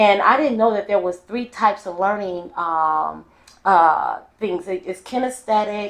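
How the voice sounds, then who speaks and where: In a plain, everyday voice, a woman talks at a medium pitch and a fairly slow pace with ordinary pitch variation. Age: 50s. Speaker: podcast host and educator. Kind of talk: casual interview chat.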